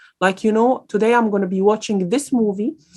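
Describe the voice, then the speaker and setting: With an Arabic accent, a woman speaks at a medium pitch using fairly even intonation. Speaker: guest speaker on careers. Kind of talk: lecture Q&A. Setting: online event. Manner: hesitant, many fillers.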